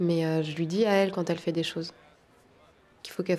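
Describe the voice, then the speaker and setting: Her pitch fairly low, a woman keeps her intonation fairly even. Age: 30s. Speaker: tightrope walker. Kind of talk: interview.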